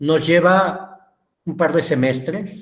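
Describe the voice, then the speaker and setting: Audible room echo carries a man's somewhat breathy voice, which has lively intonation. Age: 60s. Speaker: teacher. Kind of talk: lecture.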